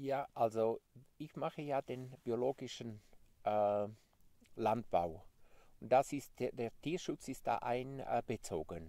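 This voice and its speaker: Dry and free of echo, a dark, mellow voice moves at a very slow pace with lively intonation and long, frequent pauses. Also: man. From Graubünden, Switzerland. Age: 50s. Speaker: sheep farmer; interviewee. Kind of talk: interview. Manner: halting. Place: open country.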